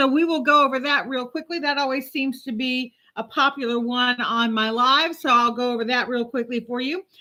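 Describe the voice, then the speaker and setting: With hardly any pauses, a woman talks at a fairly quick pace in a raised, projected voice. Her high pitch carries a bright, sharp tone over fairly even intonation. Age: 50s. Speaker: journalist and talk show host. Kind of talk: casual live stream talk to camera. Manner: warm, chatty.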